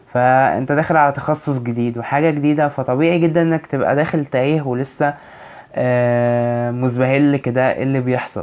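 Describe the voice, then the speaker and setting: The man's voice sits at a medium pitch. He talks at a moderate pace with flat, monotone intonation. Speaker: university student advice vlogger. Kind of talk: vlog advice talk.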